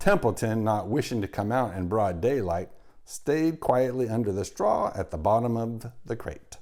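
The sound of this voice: This is an unforced reading voice. It comes across as an unforced reading voice throughout.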